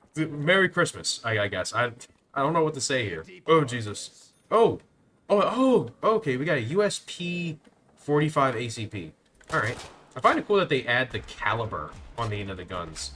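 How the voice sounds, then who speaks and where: A man with a fairly high voice speaks at a moderate pace in a bright, sharp tone, his pitch swinging very widely over a layer of vocal fry. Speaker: gaming YouTuber. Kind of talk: gameplay commentary. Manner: halting, repeating words; casual, rambling.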